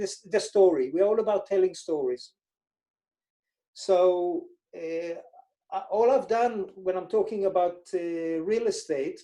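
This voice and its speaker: A man speaks at a very slow pace with long, frequent pauses. His voice is high-pitched with ordinary pitch variation and a dark, mellow tone. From Israel. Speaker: financial advisor. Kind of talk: interview.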